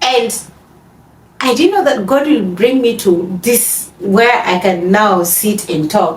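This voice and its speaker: Her intonation is lively and her pitch medium for a woman. Background noise is noticeable behind her. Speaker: podcast co-host. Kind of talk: casual chat. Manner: halting.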